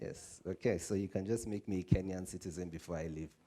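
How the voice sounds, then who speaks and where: Fairly quick male speech with a dark, mellow tone. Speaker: civic organization program officer. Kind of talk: conference talk. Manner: conversational.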